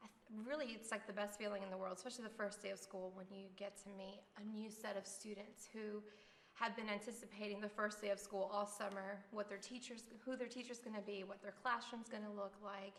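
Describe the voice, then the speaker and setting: A woman at a medium pitch, fairly quick and monotone, over noticeable background noise. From Miami, Florida, Cuban-American family. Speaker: elementary school teacher. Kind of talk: interview.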